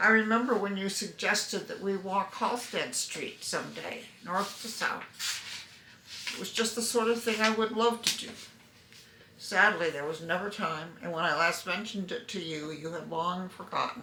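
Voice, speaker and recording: Over noticeable background noise and audible room echo, a woman talks at a medium pitch with ordinary pitch variation. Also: moderate pace. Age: 80s+. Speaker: family member sending a video greeting. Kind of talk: personal video letter.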